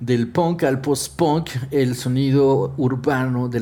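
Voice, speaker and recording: Through noticeable background noise, the male speaker's voice sits at a medium pitch. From Guatemala. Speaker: podcast host. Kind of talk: casual chat.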